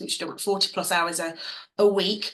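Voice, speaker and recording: The speech has a bright, sharp tone in an English accent. Its pace is very fast. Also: woman. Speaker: dance fitness business owner and coach. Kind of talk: online masterclass. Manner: animated.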